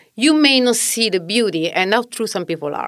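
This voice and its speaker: With an Italian accent, a woman speaks at a moderate pace with very wide pitch swings, in a very clean recording with a silent background. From southern Italy. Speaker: mom content creator. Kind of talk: interview.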